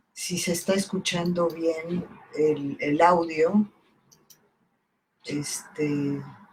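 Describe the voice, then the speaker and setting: A woman with a fairly low pitch speaks at a very slow pace, somewhat breathy, with fairly even intonation and long, frequent pauses. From southern Mexico (Campeche). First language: Italian (speaking Spanish). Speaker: poet and book editor. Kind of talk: casual talk about her book. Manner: halting, many fillers.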